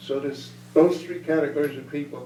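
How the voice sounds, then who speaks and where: A man speaks with an American accent and fairly even intonation. Noticeable background noise and audible room echo fill the recording. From US Northeast, northern New Jersey. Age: 80s+. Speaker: war veteran. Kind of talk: Q&A after a talk. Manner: halting.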